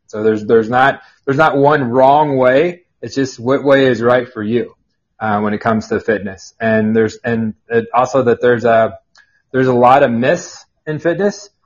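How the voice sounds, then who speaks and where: With normal rises and falls in his medium-pitched voice, a man speaks neither fast nor slow. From Kansas. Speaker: personal trainer and fitness author. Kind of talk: podcast interview. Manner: halting.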